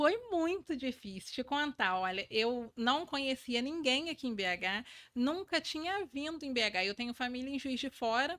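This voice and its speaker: On a very clean recording with a silent background, a woman with a high pitch and a bright, sharp tone speaks fairly slowly with lively intonation and hardly any pauses. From Brazil, interior of Rio de Janeiro state. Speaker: leadership mentor. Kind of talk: podcast interview. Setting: studio.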